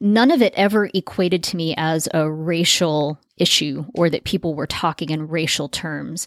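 A woman with a fairly low pitch at a moderate pace, hardly any pauses, in a dry, close sound with no echo. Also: ordinary pitch variation. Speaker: podcast host.

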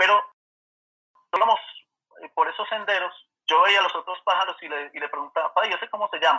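Speaking at a very fast pace, a man leaves long, frequent pauses while his loudness swings widely. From Colombia, Manizales. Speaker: birding guide. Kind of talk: casual interview chat.

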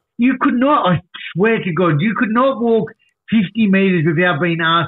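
A man talks at a moderate pace, animated in tone and lively in intonation. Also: very even loudness. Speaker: recovery advocate. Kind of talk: casual interview storytelling.

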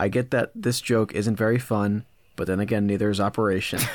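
In a very clean recording with a silent background and a dry, close sound with no echo, a man uses a normal speaking voice, fairly low in pitch with ordinary pitch variation, at a fairly quick pace. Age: 20s. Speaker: podcast co-host. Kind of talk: scripted comedic segment; casual chat.

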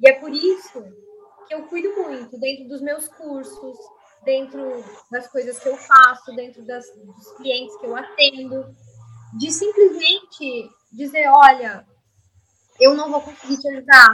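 A woman speaks in a raised, projected voice at a high pitch with ordinary pitch variation. She goes at a fairly slow pace with long, frequent pauses and big swings in loudness. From Rio Grande do Sul coast, Brazil. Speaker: systemic constellation therapist and university lecturer. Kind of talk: podcast interview.

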